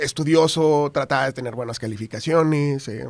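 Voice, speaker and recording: A normal speaking voice from a man, fairly high in pitch, with lively intonation at a fairly slow pace. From northern Mexico, Tamaulipas. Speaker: TV news anchor. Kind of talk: casual interview chat.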